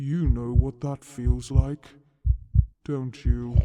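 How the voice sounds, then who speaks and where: A man's put-on character voice at a very slow pace. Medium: audio drama. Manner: archaic, commanding, cryptic.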